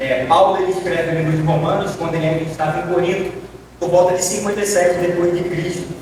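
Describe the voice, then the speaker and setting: A man talks very fast at a high pitch, in a monotone, flat delivery. The recording carries audible room echo and noticeable background noise. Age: 20s. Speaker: deacon preacher. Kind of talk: sermon. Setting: church.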